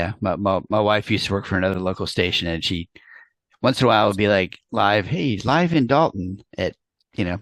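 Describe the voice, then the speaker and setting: A man has an ordinary speaking voice and an American accent, with ordinary pitch variation. The sound is dry and close with no echo, over a quiet background. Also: fairly low pitch for a man, fairly quick pace. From New York. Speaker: interview host, PR professional. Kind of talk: interview.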